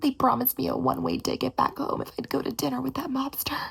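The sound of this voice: Putting on a character voice, a woman talks fast at a high pitch with vocal fry, a husky, rough edge, a fairly bright tone and little pitch movement.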